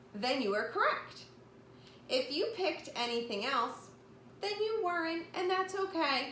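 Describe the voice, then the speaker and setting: A woman projects a raised, high voice with very wide pitch swings. Noticeable background noise and audible room echo fill the recording. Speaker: elementary school teacher. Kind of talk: remote lesson for young children.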